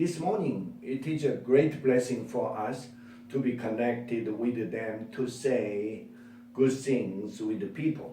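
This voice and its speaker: With a Korean accent, a man speaks at a very slow pace in a medium pitch with ordinary pitch variation, amid noticeable background noise and audible room echo. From South Korea, Kunsan area. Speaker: English interpreter and language teacher. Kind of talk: personal testimony speech.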